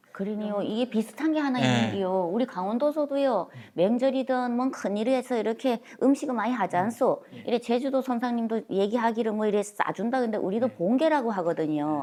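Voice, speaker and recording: In a Gangwon accent, a woman with a fairly high pitch and a dark, mellow tone talks at a fairly quick pace with lively intonation. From Gangneung, Gangwon. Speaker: dialect preservation adviser. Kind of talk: interview answer.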